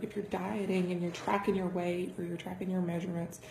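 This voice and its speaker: A soft-spoken woman with fairly even intonation, amid audible room echo and noticeable background noise. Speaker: fitness vlogger. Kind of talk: casual vlog talk. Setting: home dining room. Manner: soft-spoken, keeping voice down.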